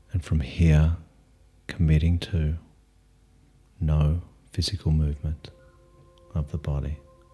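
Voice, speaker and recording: With music in the background, a man with a very deep, low pitch speaks in a calm tone at a fairly slow pace, his intonation monotone and flat, broken by long, frequent pauses. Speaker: meditation teacher. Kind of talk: guided meditation. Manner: slow, calm, soft-spoken, with long pauses.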